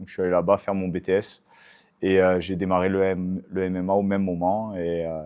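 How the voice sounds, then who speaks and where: Moving at a moderate pace, this man speaks with a fairly low pitch. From southern France (Montpellier area, Hérault). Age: 30s. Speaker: MMA fighter and coach. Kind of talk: interview. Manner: hesitant, many fillers.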